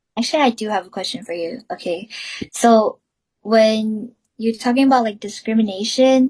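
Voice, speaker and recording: A somewhat breathy woman with a Southeast Asian accent, fairly high pitch, ordinary pitch variation and a moderate pace. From US, Hmong American family. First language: Hmong. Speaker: student podcast host. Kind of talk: casual discussion.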